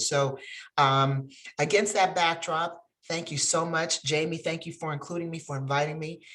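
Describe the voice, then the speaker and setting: In an American accent, a woman with a very deep, low pitch speaks at a moderate pace with ordinary pitch variation. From upstate New York. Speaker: bar association president, attorney. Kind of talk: webinar greeting remarks.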